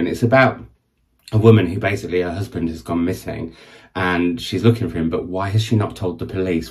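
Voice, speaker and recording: A man speaks with a very deep, low pitch and a somewhat breathy sound. His pace is fairly quick. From northern England. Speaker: book vlogger. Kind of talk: casual video monologue. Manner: chatty, waffling.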